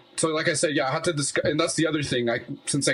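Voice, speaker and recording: Noticeable background noise runs behind the recording. A man speaks over it with fairly even intonation. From Quebec, Montreal (born in Colombia, moved as a baby). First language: Spanish. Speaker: musician. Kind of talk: casual chat.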